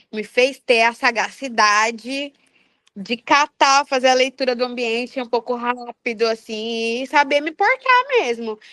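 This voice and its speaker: Animated and bright with a sharp tone, a woman with a strong Mato Grosso accent speaks at a high pitch and a fairly slow pace with ordinary pitch variation, in a dry, close sound with no echo. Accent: strong Mato Grosso (Cuiabá). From Cuiabá, Mato Grosso, Brazil. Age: 20s. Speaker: singer and psychology graduate. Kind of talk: casual podcast interview.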